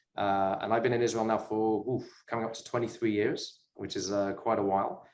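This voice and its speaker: In a British accent, a man talks at a fairly quick pace and a medium pitch. His intonation is monotone and flat, with audible room echo. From UK. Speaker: sports business investor. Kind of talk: interview chat.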